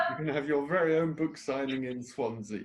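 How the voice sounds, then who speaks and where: Music plays in the background as a man speaks. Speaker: interviewer. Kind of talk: interview questions.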